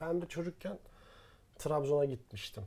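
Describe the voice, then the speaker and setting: Fairly high in pitch, a man's voice has a dark, mellow tone and is somewhat breathy. He speaks at a fairly slow pace. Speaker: podcast co-host. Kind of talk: casual chat. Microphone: professional recording gear.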